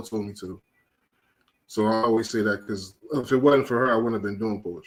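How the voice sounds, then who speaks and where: At a very fast pace, a man with an American accent talks with fairly even intonation. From Philadelphia, US. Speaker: poet and open mic organizer. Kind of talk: casual interview.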